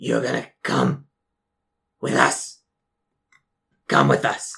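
A man's raspy, put-on character voice at a very slow pace. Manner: eerie, menacing, mimicking human speech.

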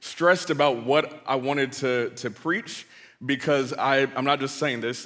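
A man's medium-pitched voice with an American accent, a bright, sharp tone and a moderate pace. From US West Coast, Bay Area California. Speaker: pastor. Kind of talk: sermon. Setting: church stage with audience. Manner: animated.

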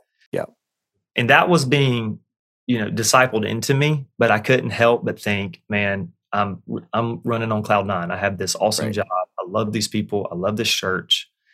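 In a Southern US accent, a man speaks at a moderate pace with a fairly low pitch, a bright, sharp tone and ordinary pitch variation. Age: 30s. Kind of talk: casual chat.

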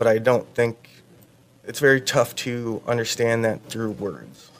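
A man with an American accent and a medium pitch speaks at a fairly slow pace in a plain, everyday voice. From Iowa, Fort Dodge. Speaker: army veteran. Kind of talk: radio interview, personal testimony.

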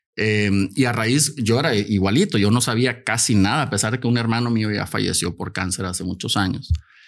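With a plain, everyday voice, a man speaks at medium pitch and a fairly quick pace, showing ordinary pitch variation and hardly any pauses against a quiet background. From Mexico. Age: 50s. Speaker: cancer survivor and health advocate. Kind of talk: casual chat. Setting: studio.

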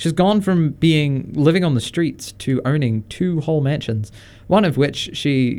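With an Australian accent, a man of fairly high pitch and a dark, mellow tone speaks at a moderate pace with lively intonation. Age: 20s. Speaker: radio host. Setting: radio studio. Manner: relaxed, jokey, conversational, with many fillers and laughs.

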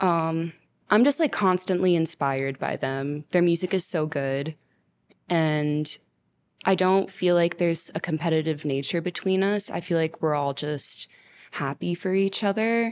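A woman with an American accent and a plain, everyday voice speaks at a fairly slow pace and fairly low pitch, with ordinary pitch variation, against a quiet background. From Miami, Florida. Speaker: singer-songwriter and producer. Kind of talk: casual interview.

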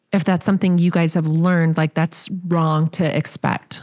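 Recorded dry and close with no echo and a silent background, a woman with an American accent speaks fairly slowly in a fairly low, monotone, flat voice. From small-town US. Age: 50s. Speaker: podcast host. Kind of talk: casual chat.

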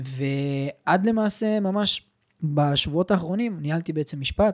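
The recording is very clean with a silent background and a dry, close sound with no echo, as a man speaks at a fairly high pitch with ordinary pitch variation. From Israel, Petah Tikva. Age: 20s. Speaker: digital entrepreneur. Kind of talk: casual interview. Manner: fast.

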